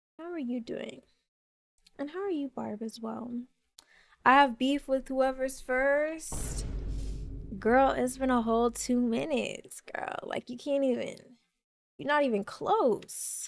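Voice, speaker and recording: With music in the background, a woman talks at a fairly slow pace and a high pitch for a woman, her ordinary pitch variation paired with big swings in loudness and long, frequent pauses. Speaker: streamer. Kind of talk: casual chat. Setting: live stream.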